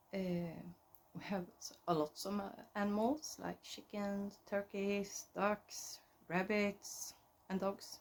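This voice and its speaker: A woman's medium-pitched voice in a Swedish accent, very slow, with fairly even intonation. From central Sweden. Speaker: knitting podcaster. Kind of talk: casual chat. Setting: at home. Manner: halting.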